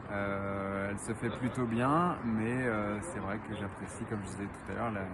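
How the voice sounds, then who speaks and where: Amid noticeable background noise and audible room echo, a man talks at a moderate pace with a fairly low pitch and fairly even intonation. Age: 30s. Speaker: cyclist commuter. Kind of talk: interview answers.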